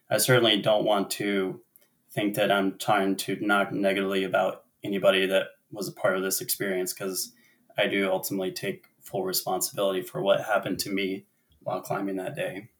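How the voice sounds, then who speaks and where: With an American accent, a man with an unremarkable speaking voice talks at a fairly quick pace and a fairly low pitch. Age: 30s. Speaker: climber and business owner. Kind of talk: interview storytelling.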